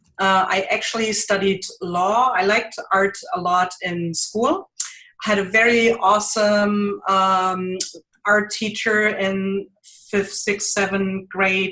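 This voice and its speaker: A woman's medium-pitched voice with a strong German accent, a bright, sharp tone, very even loudness, monotone, flat intonation and a very slow pace. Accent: thick German. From Germany. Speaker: mixed media artist. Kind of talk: interview.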